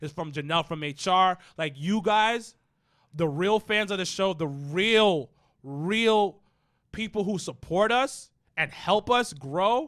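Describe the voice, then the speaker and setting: Speaking very slowly, a man uses a high voice. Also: lively intonation, very clean recording, silent background. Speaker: wrestling podcast co-host. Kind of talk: casual chat. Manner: mumbling.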